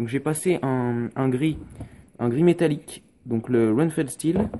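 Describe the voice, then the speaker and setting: With a medium pitch and a dark, mellow tone, a man speaks with lively intonation. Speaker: miniature painting youtuber. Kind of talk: tutorial. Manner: hesitant, many filler sounds.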